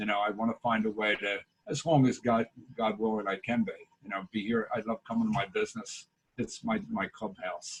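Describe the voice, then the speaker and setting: A man with a Philadelphia accent talks at a fairly quick pace, with medium pitch and ordinary pitch variation. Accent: Philadelphia-area. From US Northeast, Delaware County, Pennsylvania. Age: 60s. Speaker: local business owner and community volunteer. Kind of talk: video call interview.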